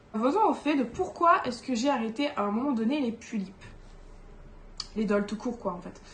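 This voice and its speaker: A woman speaks at a moderate pace in a fairly high pitch. Her voice is somewhat breathy. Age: 20s. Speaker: doll collector YouTuber. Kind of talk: casual vlog monologue. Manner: hesitant, many fillers.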